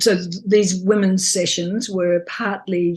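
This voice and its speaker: A somewhat breathy woman's voice at medium pitch, with fairly even intonation. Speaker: childbirth educator. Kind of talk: interview answer.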